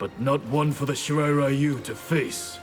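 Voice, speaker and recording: Clear music plays in the background as a man does a put-on character voice at a fairly high pitch. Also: moderate pace. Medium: machinima. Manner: measured, stern.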